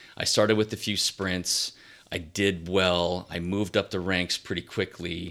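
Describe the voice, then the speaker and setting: A man's very deep, low voice, bright and sharp in tone, in a monotone, flat delivery at a fairly slow pace. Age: 40s. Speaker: retired endurance athlete. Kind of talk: casual chat.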